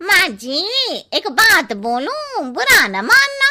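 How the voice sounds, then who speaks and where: A woman uses a cartoonish character voice with an extremely high pitch. She talks very slowly, with very wide pitch swings. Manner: cheeky, blunt.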